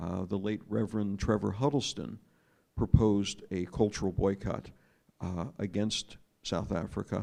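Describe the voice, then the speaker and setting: With an American accent, a man talks at a moderate pace in a fairly low pitch, his dark, mellow tone carrying vocal fry and ordinary pitch variation. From United States. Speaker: former diplomat and journalist speaking on a panel. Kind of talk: panel talk. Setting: arts festival panel with audience. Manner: hesitant, frequent fillers.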